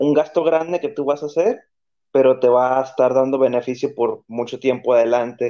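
A man's fairly high voice with a dark, mellow tone at a fairly quick pace. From Tijuana, Mexico. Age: 30s. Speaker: podcast guest. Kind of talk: casual chat.

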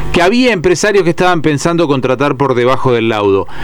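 Noticeable background noise beneath a man's lively intonation. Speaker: radio host. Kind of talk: radio interview.

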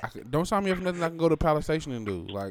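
Over noticeable background noise, a man with an American accent talks at a very fast pace, his pitch swinging very widely. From Las Vegas, US West. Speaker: podcast co-host. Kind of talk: casual banter podcast chat.

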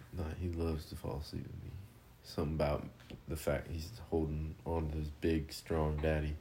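A man speaks at a very deep, low pitch with a dark, mellow tone. His voice is somewhat breathy, and his intonation is monotone and flat. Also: moderate pace. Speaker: podcaster and parent. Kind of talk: casual chat. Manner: casual, profane, laughing often.

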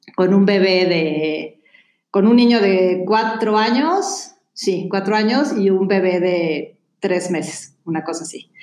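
Speaking with a Mexican accent, a woman talks very slowly at a medium pitch with ordinary pitch variation. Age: 40s. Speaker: columnist and comedic speaker. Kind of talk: casual chat.

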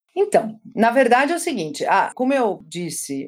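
Fairly high-pitched with vocal fry, a woman speaks at a fairly slow pace, her pitch swinging very widely. The recording is very clean with a silent background. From Brazil, German-Brazilian family. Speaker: sociology professor. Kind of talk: academic interview.

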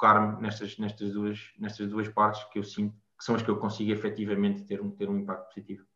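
This voice has a bright, sharp tone and a European Portuguese accent, moving at a fairly quick pace. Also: man. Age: 20s. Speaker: mental health advocate. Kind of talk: interview. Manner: halting, many repetitions.

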